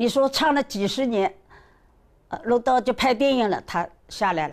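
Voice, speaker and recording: This woman talks in a fairly high voice, keeping to a moderate pace. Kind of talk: interview testimony.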